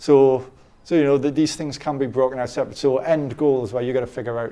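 Very fast speech in an English accent, dark and mellow in tone, with fairly even intonation. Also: man. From England. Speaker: dating coach. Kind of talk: interview. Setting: conference. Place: studio. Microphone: lapel.

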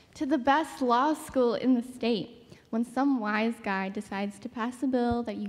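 At a moderate pace, a woman with a high pitch speaks with ordinary pitch variation. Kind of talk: scripted skit dialogue. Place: hall. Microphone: handheld.

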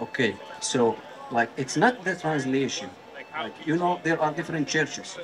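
A man with an Arabic accent talks at a moderate pace, with fairly high pitch and lively intonation. He leaves long, frequent pauses, and there is noticeable background noise. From Jordan. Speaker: member of the public debating a street preacher. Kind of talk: heated debate. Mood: earnest, argumentative. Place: street. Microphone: handheld.

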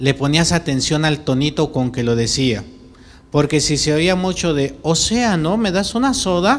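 Faint music plays in the background as the speaker goes at a fairly slow pace. The pitch swings very widely. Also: man. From Mexico City. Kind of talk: homily. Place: church. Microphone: handheld.

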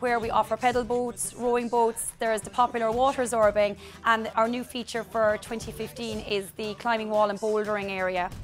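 Over faint music in the background, a woman speaks at a moderate pace with monotone, flat intonation and hardly any pauses. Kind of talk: interview answer. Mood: friendly promotional. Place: open country.

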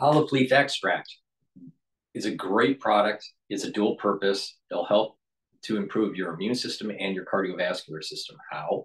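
In a quiet background, a man talks at a moderate pace with a fairly low pitch and ordinary pitch variation. He has a plain, everyday voice. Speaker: channel host promoting supplements. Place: office. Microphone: phone near.

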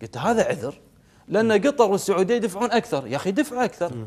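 This man's high voice moves through very wide pitch swings at a fairly quick pace. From Kuwait. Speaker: member of parliament; guest. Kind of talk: TV political interview. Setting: TV studio. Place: studio. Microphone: lapel.

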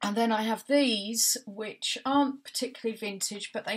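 Somewhat breathy tones come through. They belong to a woman. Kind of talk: casual vlog chat.

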